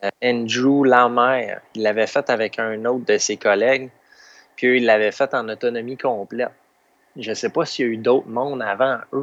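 With a Quebec accent, a man speaks at a medium pitch in a flat, monotone way. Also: moderate pace, quiet background. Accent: Québécois French. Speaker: stand-up paddleboard adventurer. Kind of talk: interview.

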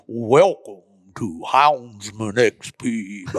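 In a put-on character voice, a man booms at a medium pitch. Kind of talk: polished announcer.

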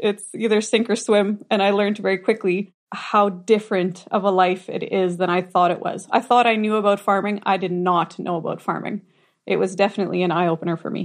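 With a Canadian Prairie accent, a woman at a medium pitch talks at a fairly quick pace with fairly even intonation and hardly any pauses. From southern Manitoba, Canada. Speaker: farmer. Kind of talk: casual chat.

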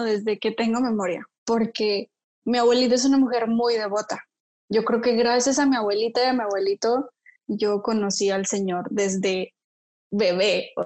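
The pace here is fairly slow. It's a normal speaking voice with ordinary pitch variation. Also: woman. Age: 20s. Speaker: engineer. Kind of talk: casual chat.

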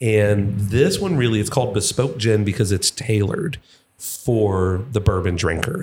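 A somewhat breathy male voice, fairly low in pitch, with ordinary pitch variation. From Kentucky, Louisville. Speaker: distillery representative. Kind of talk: casual chat.

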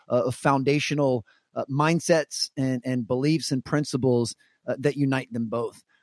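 Fairly high in pitch, a man speaks in a normal speaking voice with ordinary pitch variation at a moderate pace. The sound is dry and close with no echo. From US Mid-Atlantic, Washington DC area (Maryland). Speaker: keynote speaker and former basketball performance coach. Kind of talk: interview conversation.

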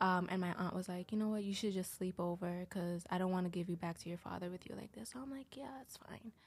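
This woman's voice is somewhat breathy, with ordinary pitch variation. She talks at a very fast pace with hardly any pauses. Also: medium pitch for a woman. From Haitian background. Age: 20s. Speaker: anonymous podcast guest. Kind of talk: personal testimony in casual interview.

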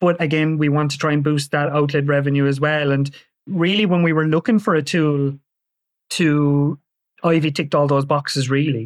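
A man with an Irish accent, fairly high-pitched, at a moderate pace and with fairly even intonation, over a quiet background. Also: very even loudness. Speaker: hotel marketing executive. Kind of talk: podcast interview. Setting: call.

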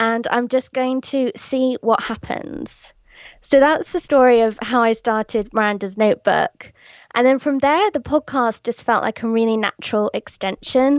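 In an English accent, a woman speaks at a moderate pace with a high pitch and ordinary pitch variation. The sound is dry and close with no echo, over a quiet background. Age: 30s. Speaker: blogger and podcaster. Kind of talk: casual interview chat.

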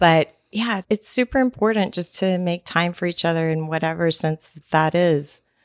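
An unremarkable speaking voice with an American accent moves at a moderate pace with hardly any pauses and ordinary pitch variation, recorded dry and close with no echo. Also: woman, fairly low pitch for a woman. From Texas. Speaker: event organizer and podcaster. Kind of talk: interview.

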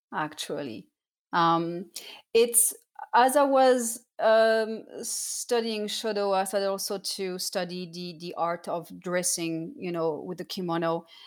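Recorded very cleanly against a silent background, a woman at medium pitch speaks fairly slowly with ordinary pitch variation and big swings in loudness. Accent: French. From southern France (Cannes). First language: French. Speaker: professional dancer and artist. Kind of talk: casual interview.

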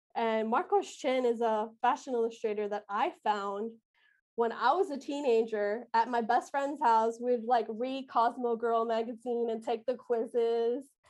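Fairly slow pacing and ordinary pitch variation in a normal speaking voice. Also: woman, fairly high pitch for a woman. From Colombian-American, grew up in a diverse US city. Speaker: illustrator and stationery business owner. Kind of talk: interview conversation.

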